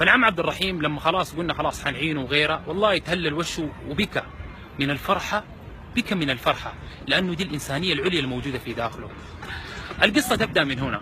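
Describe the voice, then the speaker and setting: With a Sudanese accent, the speaker uses lively intonation at a fairly quick pace. Noticeable background noise is present. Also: man, fairly high pitch for a man. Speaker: charity volunteer. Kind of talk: storytelling.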